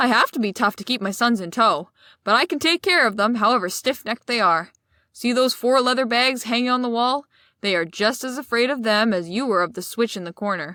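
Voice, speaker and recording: Putting on a gruff character voice, a woman speaks fairly quickly at a fairly high pitch. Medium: read story. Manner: gruff, rough-spoken.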